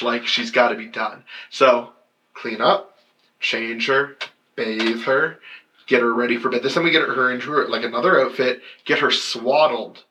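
A man talks in an ordinary speaking voice at medium pitch and a moderate pace, his intonation fairly even. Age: 30s. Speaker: podcast co-host and comedian. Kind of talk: casual chat.

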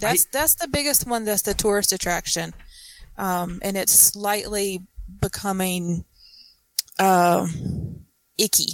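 A woman with a Southern US accent speaks at a very slow pace and medium pitch, with ordinary pitch variation and long, frequent pauses. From South Carolina. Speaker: guest. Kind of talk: casual chat.

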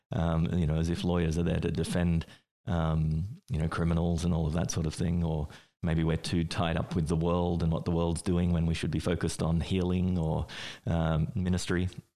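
A man with a very deep, low voice speaks with an Australian accent. His pace is moderate and his intonation monotone and flat. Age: 40s. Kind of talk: interview. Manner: hesitant, many fillers.

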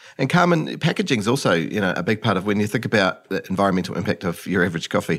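A man with a New Zealand accent rattles along at a very fast pace with hardly any pauses, his fairly low pitch shaped by lively intonation. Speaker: podcast host. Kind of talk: interview. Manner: animated.

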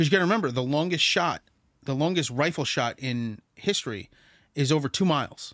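A man with a normal speaking voice talks at a fairly quick pace and fairly high pitch, his intonation lively, in a very clean recording with a silent background. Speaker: music podcast co-host. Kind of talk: casual chat. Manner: profane, joking.

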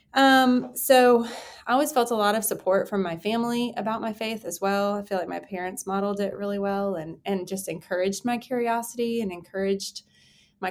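Here is a woman with a normal speaking voice at a medium pitch. She moves at a fairly quick pace on a very clean recording with a silent background. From Texas. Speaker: pastor. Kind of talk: interview.

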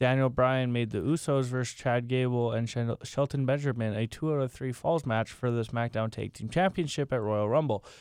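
A man with a plain, everyday voice of medium pitch talks at a moderate pace with ordinary pitch variation and hardly any pauses, on a very clean recording with a silent background. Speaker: friend sitting in, reads wrestling show recaps. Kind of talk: casual chat, reading recap notes.

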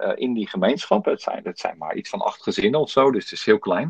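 A man with very wide pitch swings. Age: 50s. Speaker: podcast host. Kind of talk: interview. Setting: home, remote recording via app.

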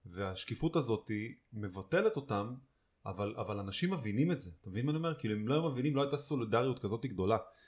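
A man speaks at a very fast pace with lively intonation and a somewhat breathy voice. The recording is very clean, with a silent background. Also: medium pitch for a man. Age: 30s. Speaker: podcast co-host. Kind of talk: casual chat.

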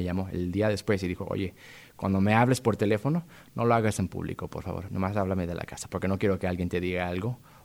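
A man talks in a normal speaking voice at a fairly quick pace, with fairly low pitch and fairly even intonation. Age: 30s. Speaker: playwright. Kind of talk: interview.

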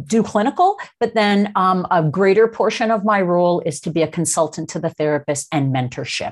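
A woman with a Canadian accent speaks at fairly low pitch with ordinary pitch variation, an unremarkable speaking voice. She talks with hardly any pauses. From Toronto, Canada. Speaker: occupational therapist and real estate investor. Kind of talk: interview.

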